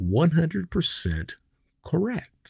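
A man with an American accent speaks in a somewhat breathy voice with very wide pitch swings. The recording is very clean, with a silent background and a dry, close sound with no echo. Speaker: podcast host and former cybercriminal. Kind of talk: casual monologue. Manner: animated.

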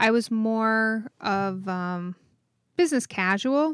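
Recorded very clean with a silent background and a dry, close sound with no echo, a woman speaks at medium pitch with ordinary pitch variation in an unremarkable speaking voice. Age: 40s. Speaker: podcast co-host, web designer. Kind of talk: casual chat.

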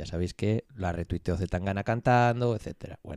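Dry and close with no echo, the voice carries a dark, mellow tone and fairly even intonation. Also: man. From Vigo, Galicia, Spain. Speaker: podcast co-host. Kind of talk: casual chat.

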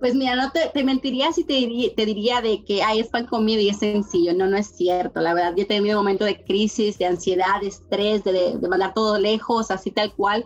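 A woman speaks at a moderate pace and medium pitch with hardly any pauses. Her loudness stays very even, her pitch varies in an ordinary way, and noticeable background noise is present. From Dominican Republic. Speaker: university staff member and entrepreneur. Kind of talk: interview. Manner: halting, with repeated words.

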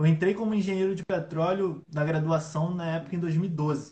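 The man's pitch is high and his intonation fairly even. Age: 20s. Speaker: innovation analyst and entrepreneur. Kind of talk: casual interview on a live stream. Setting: online live stream.

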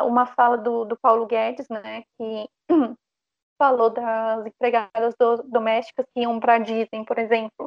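A woman talks at a fairly slow pace with fairly high pitch. Her intonation is monotone and flat. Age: 20s. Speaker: historian and teacher. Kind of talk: panel discussion.

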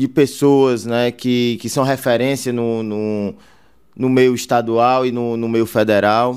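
A man speaks at a medium pitch and a very slow pace with fairly even intonation, on a very clean recording with a silent background. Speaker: city councillor-elect and businessman. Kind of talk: casual interview. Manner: halting, with many fillers.

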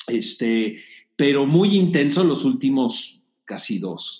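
This man has a normal speaking voice, pitched fairly high. His intonation is lively. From Mexico, Tijuana. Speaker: film critic and producer. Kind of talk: interview.

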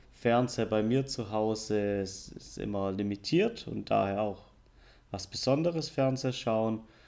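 A man's fairly low voice with a slight southern German accent, fairly even intonation and a very slow pace. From southern Germany. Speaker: podcast co-host. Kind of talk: casual chat. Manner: deliberately slower and clearer.

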